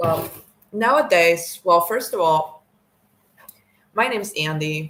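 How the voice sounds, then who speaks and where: A woman talks very slowly, her fairly low voice showing ordinary pitch variation. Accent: American. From Mexico. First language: Spanish. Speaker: vlogger. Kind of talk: casual monologue. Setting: recording to camera. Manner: hesitant, many fillers.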